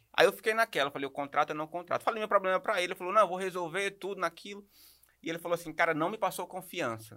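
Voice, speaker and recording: A man talks at a very fast pace in a high pitch with ordinary pitch variation, the sound dry and close with no echo. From Maranhão, Brazil. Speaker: podcast host. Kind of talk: podcast interview. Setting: studio.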